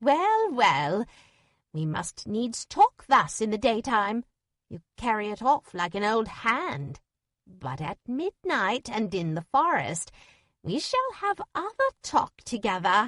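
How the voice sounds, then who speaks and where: A cackling, put-on character voice, female-sounding, fairly high in pitch and fairly slow in pace. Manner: cackling, stately.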